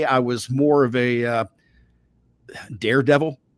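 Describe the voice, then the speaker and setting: A man with a Southern US accent talks at a medium pitch with ordinary pitch variation. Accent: Southern US (Georgia). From US South, Savannah, Georgia. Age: 60s. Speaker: wrestling podcast host and voice actor. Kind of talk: interview.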